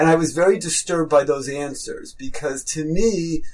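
Someone with a New York accent speaks at a fairly slow pace. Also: man. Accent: New York American. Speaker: rabbi and school head. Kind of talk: interview.

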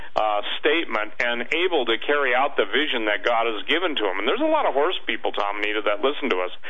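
Over noticeable background noise, a man talks at a very fast pace with very even loudness. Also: medium pitch for a man, hardly any pauses. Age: 60s. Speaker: author and radio commentator. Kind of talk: radio interview.

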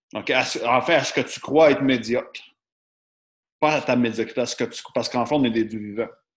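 Using a Quebec accent, a man speaks at a moderate pace and medium pitch with fairly even intonation and long, frequent pauses. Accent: Québécois French. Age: 30s. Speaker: podcast host. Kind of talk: casual chat.

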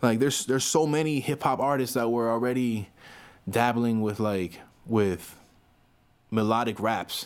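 A man with a South Florida accent and a medium pitch speaks at a moderate pace with ordinary pitch variation and long, frequent pauses, on a very clean recording with a silent background. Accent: South Florida American. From Miami, Florida. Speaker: rapper. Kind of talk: casual interview chat.

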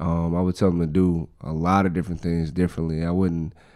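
In a very clean recording over a silent background, a man with a very deep, low voice and a dark, mellow tone speaks at a moderate pace with monotone, flat intonation. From South Carolina (Dillon). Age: 30s. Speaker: rapper. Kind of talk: interview.

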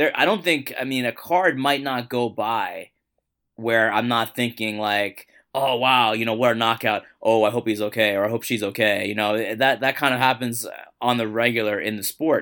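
On a very clean recording with a silent background, a man talks at a moderate pace with medium pitch and fairly even intonation. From New York City (Queens). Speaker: sports journalist. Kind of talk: casual interview. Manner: halting, many repetitions.

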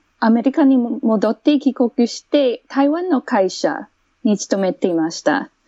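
Speaking at a very slow pace, a woman has a high pitch. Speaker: English teacher. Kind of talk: casual interview chat.

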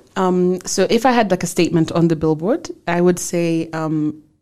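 A woman's fairly low voice, dark and mellow in tone, with fairly even intonation. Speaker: wind energy director. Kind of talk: interview conversation. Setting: studio. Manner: loud.

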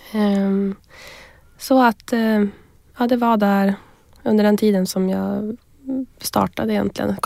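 A woman speaks in a flat monotone on a very clean recording with a silent background. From northern Sweden, Västerbotten. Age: 20s. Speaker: entrepreneur, company founder. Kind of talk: interview.

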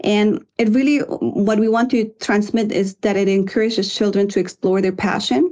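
A woman speaks at a moderate pace with a Spanish accent. Her medium-pitched voice has a dark, mellow tone and ordinary pitch variation. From Guatemala. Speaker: environmental consultant and author. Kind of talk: interview.

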